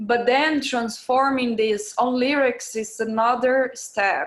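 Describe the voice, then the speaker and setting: Here is a woman with a Portuguese accent. Her pitch sits fairly high and varies in an ordinary way. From Brazil, Belo Horizonte. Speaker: music producer and DJ. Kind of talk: interview. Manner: halting.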